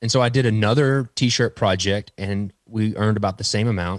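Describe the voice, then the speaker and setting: Very clean and dry, with a silent background and no echo, this recording has a man with an ordinary speaking voice and an American accent talking at a moderate pace with fairly even intonation. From Texas. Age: 30s. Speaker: playing card designer. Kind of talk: casual chat.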